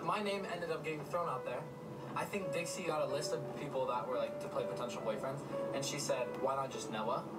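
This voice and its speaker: Clear music plays in the background. Over it, a man talks at a fairly quick pace. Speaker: vlogger. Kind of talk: casual vlog chat. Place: car. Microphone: phone near.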